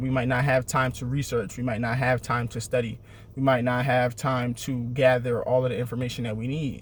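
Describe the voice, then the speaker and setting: In an American accent, a man speaks at a moderate pace in a medium-pitched, somewhat breathy voice with monotone, flat intonation. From Syracuse, New York (US Northeast). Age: 30s. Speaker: motivational vlogger. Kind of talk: motivational talk. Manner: repetitive, emphatic.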